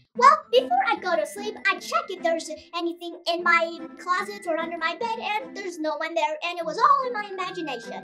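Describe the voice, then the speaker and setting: Over music in the background, a woman uses a cartoonish character voice at an extremely high pitch, talking at a fairly quick pace with hardly any pauses. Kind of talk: children's puppet show dialogue. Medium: puppet. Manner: gentle, reassuring.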